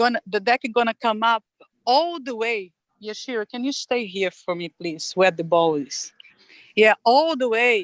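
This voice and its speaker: A woman talks with a fairly high pitch and lively intonation. The sound is dry and close, with no echo. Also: moderate pace. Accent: non-native. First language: not English. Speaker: applicant at a zoning hearing. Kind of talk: public hearing testimony. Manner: halting.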